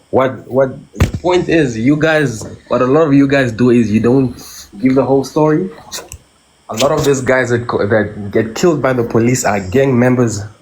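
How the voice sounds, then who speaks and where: Speaking with a South African accent at a moderate pace, a man uses a medium pitch with ordinary variation and very even loudness, while noticeable background noise and audible room echo come through. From South Africa, Cape Town. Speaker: caller. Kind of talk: call-in comment.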